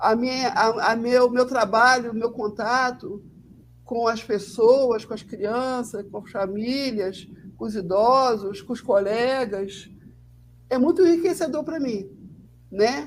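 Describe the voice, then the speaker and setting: A woman talks at a very slow pace with a fairly high pitch. Her loudness swings widely. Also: ordinary pitch variation. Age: 60s. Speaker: social worker. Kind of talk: casual chat.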